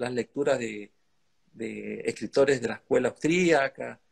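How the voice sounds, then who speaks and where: In a quiet background, a man talks at a fairly slow pace. His pitch varies in an ordinary way. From Argentina. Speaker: lawyer and think-tank director, interviewer; interviewer, lawyer. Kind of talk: interview conversation. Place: home room. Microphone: video call.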